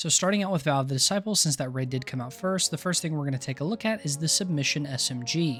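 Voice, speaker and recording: A man with a fairly high voice speaks at a very fast pace and with lively intonation. Music plays in the background. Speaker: gaming video creator. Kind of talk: gaming guide commentary. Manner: casual.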